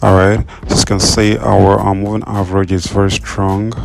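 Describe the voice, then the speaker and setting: Noticeable background noise runs under the recording. A man speaks with a fairly low pitch. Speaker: trading strategy tutor. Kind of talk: tutorial. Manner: hesitant, many fillers.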